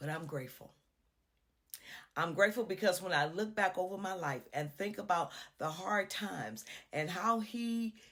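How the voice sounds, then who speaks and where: A woman's unremarkable speaking voice, medium in pitch, with lively intonation and a moderate pace. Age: 60s. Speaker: inspirational speaker. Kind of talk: devotional encouragement talk.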